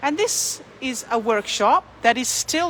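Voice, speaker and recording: A woman speaks with an Australian accent. She talks very slowly over noticeable background noise. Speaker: tour guide. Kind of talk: live-stream walking tour. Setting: outdoors on a city street. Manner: chatty, greets viewers mid-sentence.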